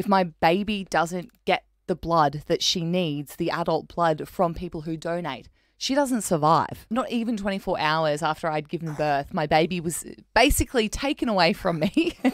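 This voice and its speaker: With lively intonation and a fairly low pitch, a woman speaks at a moderate pace, her voice dry with no echo over a quiet background. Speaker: radio host sharing family story. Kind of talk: radio interview talk. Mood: earnest, occasionally laughing. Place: studio. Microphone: studio mic.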